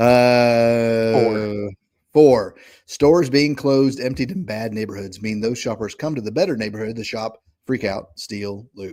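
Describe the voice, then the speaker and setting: Dark and mellow in tone, a man with a Southern US accent speaks at a medium pitch and a moderate pace with ordinary pitch variation. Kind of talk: casual, conversational.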